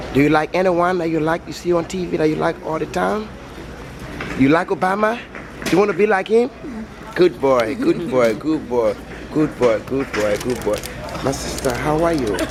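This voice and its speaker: A man's fairly high voice with very wide pitch swings, a moderate pace, long and frequent pauses, and noticeable background noise. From West Africa. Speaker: street interviewer. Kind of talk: vox pop street interview.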